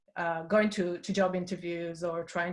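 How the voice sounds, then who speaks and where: At a moderate pace, a woman with an Israeli accent speaks in a fairly low voice with monotone, flat intonation. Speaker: design industry leader. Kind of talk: panel discussion. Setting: webinar video call. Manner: halting.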